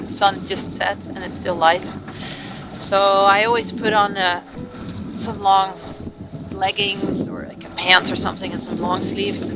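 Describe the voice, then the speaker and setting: Over music in the background, the speech moves at a fairly slow pace with long, frequent pauses and big swings in loudness. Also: woman. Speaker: sailing vlogger. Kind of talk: casual vlog talk.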